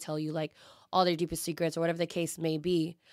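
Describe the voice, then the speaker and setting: A woman with a normal speaking voice talks at a fairly quick pace and a fairly low pitch. The recording is very clean, dry and close, with a silent background and no echo. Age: 20s. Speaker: bartender. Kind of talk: casual chat.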